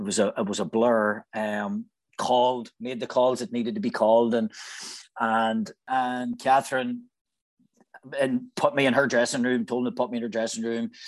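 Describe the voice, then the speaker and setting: A Northern Irish accent at a moderate pace, with ordinary pitch variation and a quiet background. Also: man. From Northern Ireland, Newry, County Down. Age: 40s. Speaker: actor. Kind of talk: casual chat.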